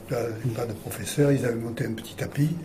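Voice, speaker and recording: A man's medium-pitched voice, with fairly even intonation, comes through audible room echo and noticeable background noise. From French Riviera, Provence. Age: 80s+. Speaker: retired judo teacher. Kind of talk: interview. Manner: halting.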